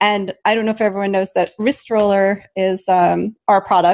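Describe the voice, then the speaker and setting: At a moderate pace, a woman speaks in a plain, everyday voice of medium pitch. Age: 40s. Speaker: podcast host. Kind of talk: casual interview chat.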